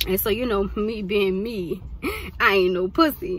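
A woman talks at a fairly slow pace with ordinary pitch variation, and the sound is dry with no echo. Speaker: vlogger. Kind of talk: casual storytime vlog. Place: car. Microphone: phone near.

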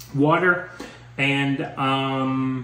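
A man is speaking. Noticeable background noise can be heard. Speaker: couple vlogger. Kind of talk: casual vlog chat. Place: home room. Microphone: phone near.

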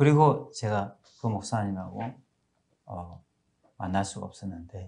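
A man's fairly low, somewhat breathy voice with a dark, mellow tone, ordinary pitch variation and a moderate pace, over a quiet background. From South Korea. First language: Korean (speaking Hindi). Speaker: pastor. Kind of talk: testimony. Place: studio. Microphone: lapel.

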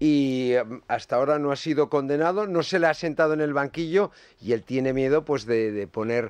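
The sound is dry with no echo and the background quiet. A man speaks at a moderate pace with a fairly high pitch and ordinary pitch variation. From Navarra, Spain. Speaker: journalist. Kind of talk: radio panel discussion. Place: studio. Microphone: studio mic.

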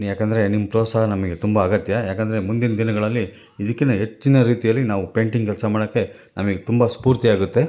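A man with a fairly low pitch and a dark, mellow tone speaks with fairly even intonation on a very clean recording with a silent background. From Chitradurga, Karnataka, India. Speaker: wildlife painter and vlogger. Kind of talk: vlog narration. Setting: outdoors at a zoo.

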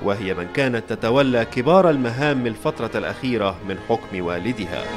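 With clear music in the background, a man speaks at a fairly slow pace with lively intonation. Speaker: news anchor and voiceover artist; news anchor. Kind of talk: documentary narration. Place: studio.

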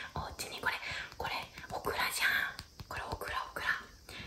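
A woman speaks in a whisper. Her pace is fairly slow. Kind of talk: casual playful talk to a child. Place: home room. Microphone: phone near.

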